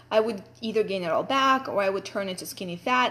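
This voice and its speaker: A woman with a Russian accent at a fairly quick pace. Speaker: fitness coach. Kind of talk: personal story talk. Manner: casual, chatty.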